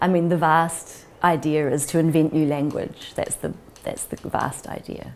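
A woman with a New Zealand accent speaks at a fairly slow pace in a very deep, low pitch, her intonation monotone and flat. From New Zealand (Auckland west). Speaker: writer and artist in residence. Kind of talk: interview reflection on creative work; interview answer. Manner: reflective, with hesitations. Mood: warm, thoughtful. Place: home room. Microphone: lapel.

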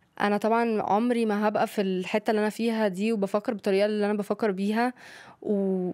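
A woman's fairly high voice with a dark, mellow tone, monotone, flat intonation and very even loudness, at a fairly quick pace against a quiet background. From Egypt (Cairo, Luxor), partly Spain; Egypt. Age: 20s. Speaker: young guest sharing life story; guest. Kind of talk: casual interview. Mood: calm, reflective storytelling. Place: studio. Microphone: studio mic.

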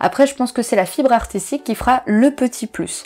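At a fairly quick pace, a woman talks. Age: 20s. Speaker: photographer and video creator; photography youtuber. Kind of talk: casual Q&A video monologue. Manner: hesitant, many filler sounds.

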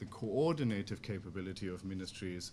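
Speaking with a German accent at a moderate pace, a man keeps a fairly even intonation over light background noise. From Germany. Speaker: think tank researcher; conference speaker. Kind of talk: conference presentation. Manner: halting. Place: meeting room. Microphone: podium.

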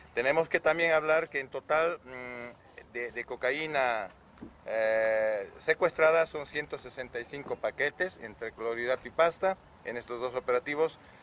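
Over light background noise, someone speaks at a very slow pace with ordinary pitch variation and big swings in loudness. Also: man. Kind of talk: press conference briefing. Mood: formal, matter-of-fact. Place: street. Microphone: handheld.

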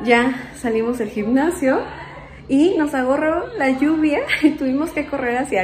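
A woman talks at a fairly slow pace, with light background noise present. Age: 30s. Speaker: vlogger. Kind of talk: casual vlog narration; casual vlog chat. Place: home room. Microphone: phone near.

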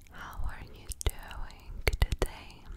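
The speaker is a woman, whispering. Her pace is very slow. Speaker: ASMR creator. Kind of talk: ASMR relaxation video. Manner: whispered, soft-spoken, repetitive. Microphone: studio mic.

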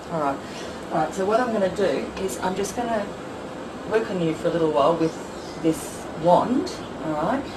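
Against noticeable background noise, the speaker keeps a moderate pace broken by long, frequent pauses. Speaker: energy healing practitioner. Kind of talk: product demonstration talk. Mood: gentle, reassuring. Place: home room. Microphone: camera far.

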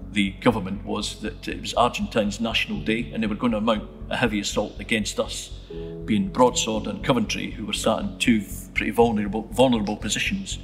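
A man speaks at a fairly quick pace with clear music in the background. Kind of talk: interview answer. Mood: calm, reflective storytelling. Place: church.

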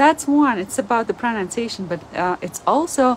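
Over light background noise, a woman with a Latvian accent speaks with very wide pitch swings. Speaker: language teacher and video creator. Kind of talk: monologue, informal educational talk. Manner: halting, with frequent fillers. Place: home room. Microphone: phone near.

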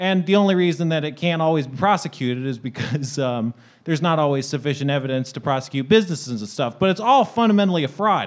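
Speaking at a very fast pace with hardly any pauses, a man uses lively intonation against a quiet background. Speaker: podcast panelist. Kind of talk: casual chat. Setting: stage with audience. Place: stage. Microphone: studio mic.

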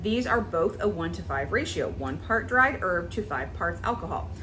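Light background noise runs under the recording. A woman talks at a moderate pace. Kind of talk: tutorial. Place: kitchen.

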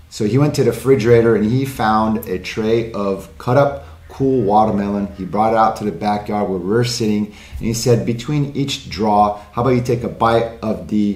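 Audible room echo carries a man's fairly low pitch with ordinary pitch variation. His moderate pace has hardly any pauses. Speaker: cigar channel host. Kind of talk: tutorial. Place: studio.

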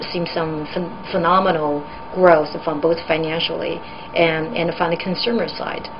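At a moderate pace, a woman with a fairly low voice speaks in fairly even intonation amid noticeable background noise. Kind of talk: interview answer. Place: office.

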